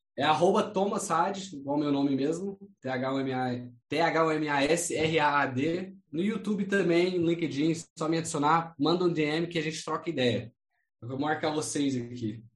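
A man with a fairly high pitch talks at a moderate pace in a normal speaking voice, with ordinary pitch variation. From United States. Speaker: import-export entrepreneur. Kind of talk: interview, casual chat.

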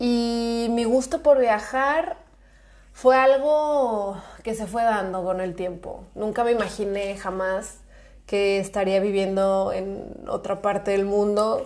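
A woman talks at a very slow pace with a fairly high pitch. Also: ordinary pitch variation. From Mexico, Guadalajara. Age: 20s. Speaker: podcast host. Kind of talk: casual chat.

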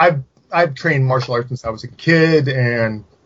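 A man with a West Coast American accent, somewhat breathy, at a fairly slow pace. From California, Silicon Valley. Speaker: horror writer and genre critic. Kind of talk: casual chat.

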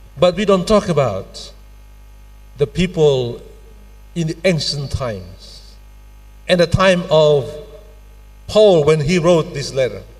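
With long, frequent pauses at a very slow pace, a man with a fairly high pitch speaks over noticeable background noise. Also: lively intonation. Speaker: pastor. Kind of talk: sermon. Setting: church. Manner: formal.

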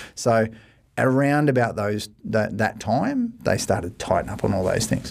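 A man's medium-pitched voice with an Australian accent and ordinary pitch variation. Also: moderate pace. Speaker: mortgage broker, managing director. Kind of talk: casual podcast discussion. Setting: studio.

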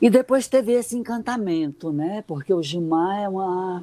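At a fairly slow pace, a woman speaks in a medium pitch with lively intonation. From Ceará sertão, Brazil. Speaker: retired literature professor and journalist. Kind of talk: radio interview. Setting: remote online call. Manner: hesitant, many fillers.

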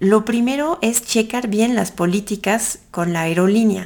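In a very clean recording with a silent background, a woman with a French accent talks at a fairly slow pace and a medium pitch. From France. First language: French (speaking Spanish). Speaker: podcast host, tourism promoter. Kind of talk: casual monologue with travel advice.

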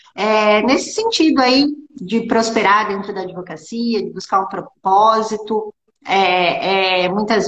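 A woman with a medium pitch talks fairly slowly, her pitch varying in an ordinary way. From Brazil, small town. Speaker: lawyer and law teacher. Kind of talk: interview. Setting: Instagram live video call. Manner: halting.

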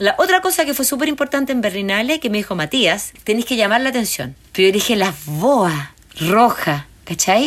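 Over noticeable background noise, a woman talks at a moderate pace with a fairly high pitch and very wide pitch swings. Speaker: documentary filmmaker. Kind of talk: interview. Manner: animated.

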